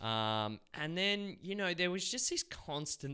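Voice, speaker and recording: A man with an Australian accent speaks at a very slow pace in a bright, sharp tone. His pitch swings very widely, and the recording is very clean with a silent background. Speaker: actor and filmmaker, former carpenter. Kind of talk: casual interview chat. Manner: halting, many repeated words.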